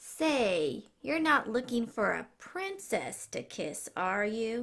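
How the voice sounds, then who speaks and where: Using a put-on character voice, a woman talks very slowly at a fairly high pitch. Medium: read story. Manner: suspicious, nasty.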